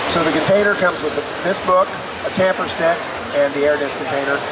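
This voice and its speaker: The speaking runs at a moderate pace against loud background noise. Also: man. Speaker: product demonstrator. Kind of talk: sales pitch. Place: hall. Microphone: phone near.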